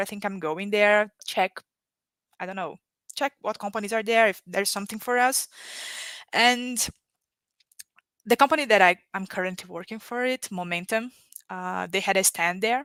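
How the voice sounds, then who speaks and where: On a very clean recording with a silent background, a woman speaks at a moderate pace and medium pitch in a bright, sharp tone, the sound dry and close with no echo. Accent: Brazilian Portuguese. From Brazil. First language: Portuguese. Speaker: economic development worker, panel guest. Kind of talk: live-streamed panel interview. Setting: livestream.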